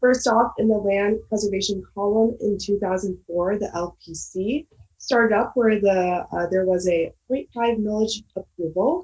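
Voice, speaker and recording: Her voice is somewhat breathy, a woman's at medium pitch. She speaks fairly slowly with ordinary pitch variation. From Michigan, Ann Arbor. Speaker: graduate student. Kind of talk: presentation.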